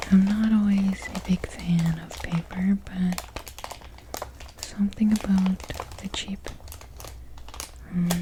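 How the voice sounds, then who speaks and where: Very slow, soft-spoken whispering, broken by long, frequent pauses, comes over noticeable background noise. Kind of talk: ASMR tapping video. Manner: whispered, soft-spoken.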